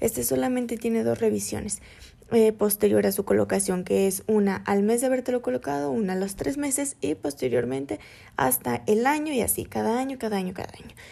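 Her tone is dark and mellow, her pace fairly quick. This woman's medium pitch swings very widely. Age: 20s. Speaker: student podcaster. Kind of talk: educational podcast.

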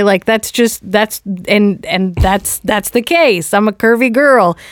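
In a very clean recording with a silent background, a woman with an ordinary speaking voice talks at a fairly slow pace, medium in pitch with ordinary pitch variation. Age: 30s. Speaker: podcast host and comedian. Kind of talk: casual chat.

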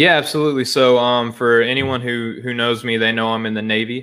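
Here a man talks at a fairly quick pace. His medium-pitched voice has a monotone, flat intonation. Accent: Southern US. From Arkansas, US South. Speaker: podcaster and sports site founder. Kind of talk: casual podcast conversation.

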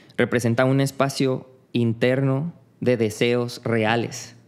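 This man has a medium-pitched voice and speaks with a Mexican accent. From Mexico (Tepic, Nayarit; childhood in Tabasco). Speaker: street artist. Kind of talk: casual interview conversation.

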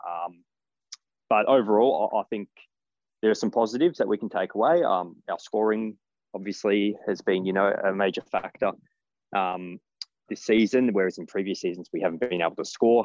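In an Australian accent, a man speaks at a fairly low pitch and a moderate pace, with ordinary pitch variation. Long, frequent pauses break up his speech, and the sound is dry and close with no echo. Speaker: football fan. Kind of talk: interview.

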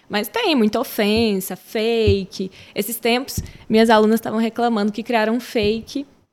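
An unremarkable speaking voice from a woman, fairly high-pitched, with fairly even intonation and a moderate pace. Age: 20s. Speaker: schoolteacher. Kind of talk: casual chat.

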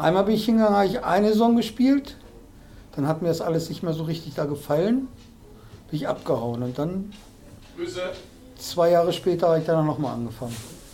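Pitched high, a man speaks at a fairly quick pace with a dark, mellow tone, very wide pitch swings and long, frequent pauses. Audible room echo surrounds him. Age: 50s. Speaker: amateur dart player. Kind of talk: casual interview chat. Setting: club house.

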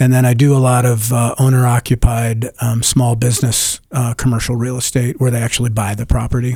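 A man's somewhat breathy, dark, mellow voice in an American accent, fairly quick with monotone, flat intonation. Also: medium pitch for a man, hardly any pauses. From Denver, Colorado. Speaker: real estate agent. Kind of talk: radio interview. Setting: radio studio.

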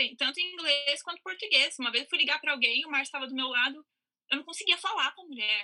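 A woman's high-pitched, raised, projected voice, bright and sharp in tone, at a very fast pace with big swings in loudness. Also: ordinary pitch variation. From Brazil, São Paulo. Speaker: actress. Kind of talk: casual chat.

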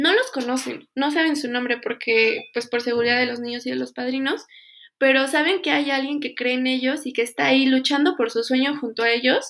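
A woman talks at a moderate pace in a high voice with ordinary pitch variation. The recording is very clean, with a silent background. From Mexico, Pachuca. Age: 20s. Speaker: foundation volunteer. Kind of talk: interview testimony.

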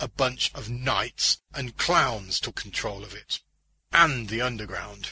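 A put-on character voice from a man, medium in pitch, bright and sharp in tone with a husky, rough edge, at a slow pace with ordinary pitch variation

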